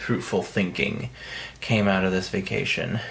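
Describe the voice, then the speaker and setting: A quiet man speaks with ordinary pitch variation against audible room echo. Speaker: indie author vlogger. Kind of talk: casual vlog monologue. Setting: vacation house. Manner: quiet, hushed.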